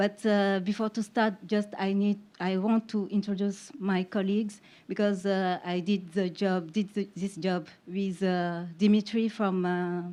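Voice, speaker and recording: A woman with a French accent speaks at a medium pitch and a fairly slow pace. Her tone is dark and mellow, her intonation flat and monotone. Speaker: investigative journalist. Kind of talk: conference panel presentation. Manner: halting, many fillers.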